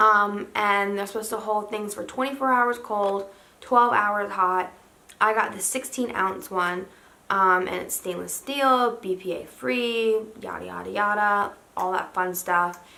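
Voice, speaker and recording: There is audible room echo around a woman whose voice has a bright, sharp tone. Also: medium pitch for a woman, fairly slow pace. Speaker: lifestyle vlogger. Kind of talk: casual haul video. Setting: home, in pajamas. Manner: monotone.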